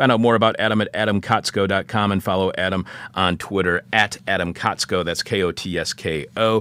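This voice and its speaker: A man with a Michigan accent speaks at a fairly quick pace, his pitch fairly low. His intonation stays fairly even. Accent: Michigan (northern cities). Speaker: radio host. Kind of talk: radio interview and show intro. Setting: studio.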